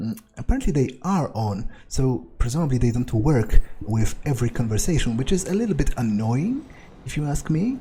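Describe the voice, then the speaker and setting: Speaking at a moderate pace, a man with a non-native accent uses lively intonation. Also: medium pitch for a man. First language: not English. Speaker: let's play gamer. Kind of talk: gameplay commentary. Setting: recording at computer with microphone. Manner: halting, many fillers.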